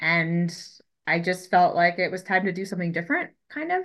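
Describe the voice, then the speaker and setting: A woman's voice at medium pitch, bright and sharp in tone, against a quiet background. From Colorado, US. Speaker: fisheries ecologist. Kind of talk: interview.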